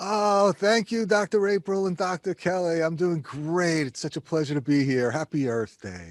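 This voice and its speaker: In a strong New York accent, the speaker uses lively intonation at a moderate pace with hardly any pauses, in a very clean recording with a silent background and a dry, close sound with no echo. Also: man, high pitch for a man. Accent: thick New York. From New York City area (Queens, Long Island). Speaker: energy consultant. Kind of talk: podcast interview.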